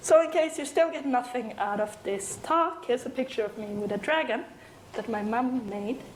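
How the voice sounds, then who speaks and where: Against noticeable background noise and audible room echo, a woman speaks with a high pitch and lively intonation. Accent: European. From Sweden. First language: Swedish. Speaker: software developer and conference speaker. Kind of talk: conference talk. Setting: stage with audience. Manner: animated.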